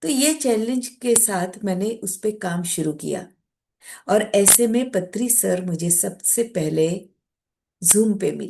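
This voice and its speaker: In a Marathi accent, a woman talks with a dark, mellow tone at a medium pitch. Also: ordinary pitch variation, quiet background. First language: Marathi (speaking Hindi). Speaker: meditation practitioner, guest speaker. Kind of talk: personal spiritual testimony talk.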